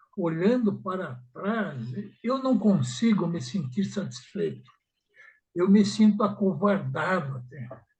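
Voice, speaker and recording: A man speaks at a very slow pace in a high voice, his pitch swinging very widely. Room echo is audible around him. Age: 80s+. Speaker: study group participant. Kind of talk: emotional personal reflection in group discussion. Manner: halting.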